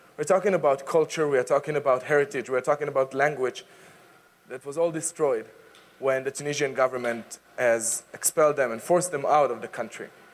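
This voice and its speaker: Speaking at a very fast pace with an Israeli accent, a man with a fairly high pitch and ordinary pitch variation is heard over noticeable background noise. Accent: Israeli, non-native English. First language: Hebrew and Arabic. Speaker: advocacy speaker. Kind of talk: public talk. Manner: energetic, engaging.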